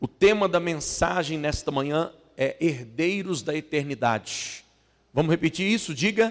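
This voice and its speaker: Lively intonation marks an unremarkable speaking voice delivered at a fairly slow pace. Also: man, fairly high pitch for a man. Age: 40s. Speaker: pastor. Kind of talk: sermon. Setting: church.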